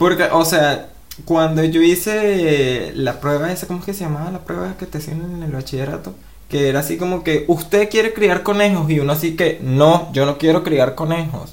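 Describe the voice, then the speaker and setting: With a Venezuelan accent, a man talks at a moderate pace in an animated tone and a fairly high pitch, over noticeable background noise. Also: ordinary pitch variation. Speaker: podcast co-host. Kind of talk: casual chat.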